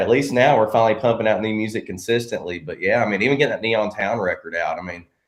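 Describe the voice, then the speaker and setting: Speech from this man comes at a very fast pace. His voice is medium in pitch. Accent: American. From Arkansas. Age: 30s. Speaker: country singer-songwriter. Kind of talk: podcast interview.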